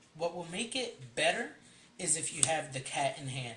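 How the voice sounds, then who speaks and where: The voice moves at a moderate pace with noticeable background noise. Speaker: card game deck reviewer. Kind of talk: tutorial. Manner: hesitant, many ums.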